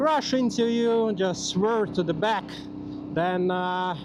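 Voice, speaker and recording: A man speaks at a very slow pace with a Latvian accent. Audible room echo and noticeable background noise fill the recording. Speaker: motorcycle vlogger. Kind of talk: casual vlog monologue. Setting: riding a motorcycle outdoors. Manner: halting, many fillers.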